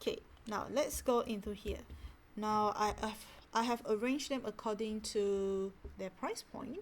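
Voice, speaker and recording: A woman with a Malaysian accent speaks at a fairly slow pace and a fairly high pitch, her relaxed, somewhat breathy voice keeping a fairly even intonation. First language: not English. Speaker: stationery hobbyist vlogger. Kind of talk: casual product talk.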